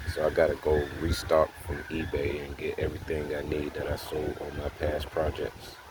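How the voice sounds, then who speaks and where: A man talks with hardly any pauses against noticeable background noise. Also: moderate pace. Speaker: motorized bicycle mechanic vlogger. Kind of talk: casual how-to vlog. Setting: outdoors. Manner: casual, halting.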